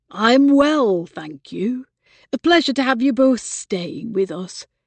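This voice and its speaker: A woman speaks at a fairly slow pace in a put-on character voice, fairly high-pitched, with very wide pitch swings. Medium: read story. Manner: polite, guarded.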